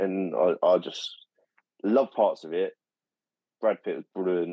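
A man speaks with a dry, close sound and no echo. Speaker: podcast co-host. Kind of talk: casual chat.

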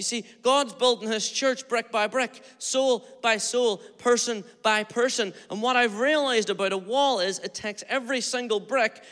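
Speaking with a Northern Irish accent, a man uses an extremely high pitch, a bright, sharp, animated tone and hardly any pauses. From Northern Ireland, Derry area. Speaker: pastor. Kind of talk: sermon. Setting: church. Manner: fast.

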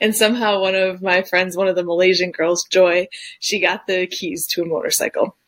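Speaking at a fairly quick pace, a woman uses an ordinary speaking voice with an American accent. Her medium pitch holds a fairly even intonation. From Detroit, US Midwest. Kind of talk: testimony.

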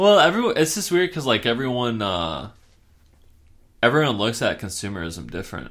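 Medium-pitched male speech with vocal fry, very wide pitch swings, a fairly quick pace and long, frequent pauses. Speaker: podcast host. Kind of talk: casual chat. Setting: home recording, not a studio. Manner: casual, laid-back.

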